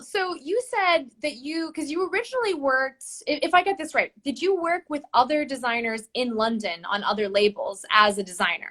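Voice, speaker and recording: A woman with an American accent raises and projects her high voice. She keeps a moderate pace while her pitch swings very widely. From United States. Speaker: interviewer, arts advocacy ambassador. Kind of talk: casual interview.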